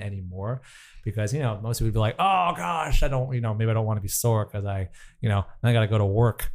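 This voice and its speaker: On a very clean recording with a silent background, there is a plain, everyday voice whose pitch varies in an ordinary way. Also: man. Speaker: personal trainer and professional dancer. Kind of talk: interview.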